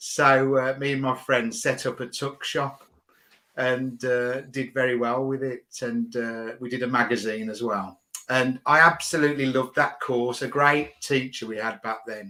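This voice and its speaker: Speaking with a Birmingham accent, a man has a bright, sharp tone at a medium pitch. His pace is moderate and his intonation fairly even. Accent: Birmingham (Brummie). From England, Birmingham. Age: 50s. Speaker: business professional. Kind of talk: casual interview.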